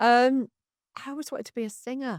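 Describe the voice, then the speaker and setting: A woman's high-pitched voice in a Mancunian accent, moderate in pace and fairly even in intonation, on a very clean, dry, close recording with a silent background and no echo. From northern England, Manchester. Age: 60s. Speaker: comedy club founder. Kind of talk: podcast interview.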